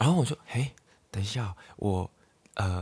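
A man with a fairly low, somewhat breathy voice speaks at a moderate pace on a very clean recording with a silent background. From Hong Kong. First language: Cantonese (speaking Chinese). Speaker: podcast host. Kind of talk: casual chat. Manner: halting.

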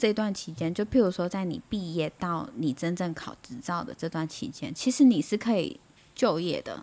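With a dark, mellow tone, a woman at medium pitch lets her voice swing very widely. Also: moderate pace. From Taiwan. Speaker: nurse. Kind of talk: casual chat.

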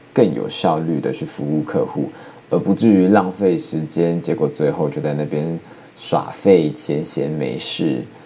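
Over noticeable background noise, a man with a Taiwanese accent talks at a fairly slow pace in a very deep, low voice with ordinary pitch variation. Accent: Taiwanese Mandarin. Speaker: podcaster. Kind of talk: solo talk monologue. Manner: playful.

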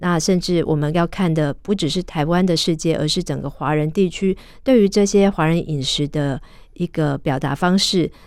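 A woman's fairly low voice at a moderate pace, with ordinary pitch variation, in a very clean recording with a silent background. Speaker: food journalist and author. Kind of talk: radio interview. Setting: radio studio. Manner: hesitant with fillers.

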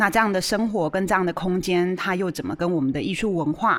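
A woman speaks at a fairly low pitch in a Taiwanese accent. Her intonation is lively. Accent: Taiwanese Mandarin. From Taiwan, Chiayi. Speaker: art museum director hosting a radio show. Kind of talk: hosted radio discussion. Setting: radio studio. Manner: hesitant, many fillers.

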